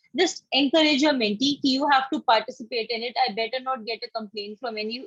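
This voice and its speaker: A woman speaks at a fairly quick pace with an Indian accent. Her pitch varies in an ordinary way. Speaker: campaign coordinator presenting to volunteer mentors. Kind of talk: online orientation presentation. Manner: fast.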